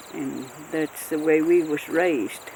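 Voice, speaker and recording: A woman with a Southern Appalachian accent speaks at a very deep, low pitch with ordinary pitch variation. Her pace is fairly slow, and there is noticeable background noise. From Western North Carolina, Appalachia. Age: 80s+. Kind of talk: oral history interview answer.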